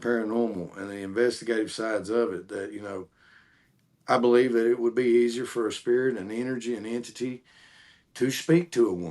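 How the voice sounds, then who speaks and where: Against a quiet background, a man with a Southern US accent and a medium pitch speaks at a fairly quick pace, his intonation fairly even but his loudness swinging widely. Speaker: paranormal investigator. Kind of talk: casual chat.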